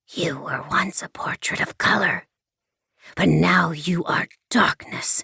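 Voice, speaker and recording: This put-on character voice is raspy, with a middle pitch. It moves at a fairly slow pace with long, frequent pauses. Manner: ominous, ritualistic.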